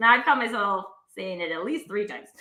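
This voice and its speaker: Animated and raised, a woman's projected voice carries a bright, sharp tone and a Canadian accent. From Canada. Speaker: talk show host. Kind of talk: casual live-stream conversation.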